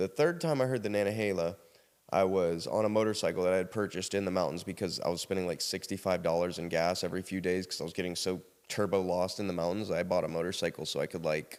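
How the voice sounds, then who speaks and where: A man with a South Carolina accent and a very deep, low pitch, talking at a very fast pace on a very clean recording with a silent background. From US South, South Carolina. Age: 30s. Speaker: podcast guest sharing life story. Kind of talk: casual interview storytelling. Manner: animated.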